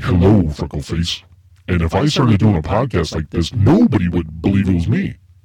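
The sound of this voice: Using a croaky, put-on character voice, a man talks at a fairly quick pace in a very deep, low pitch.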